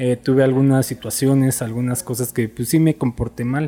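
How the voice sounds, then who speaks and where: This man speaks at a moderate pace in a Mexico City accent, his medium-pitched voice dark and mellow in tone. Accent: Mexico City Spanish (chilango). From Mexico, Ciudad Nezahualcóyotl (Mexico City area). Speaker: dentist. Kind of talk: casual interview. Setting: at a home during a cookout.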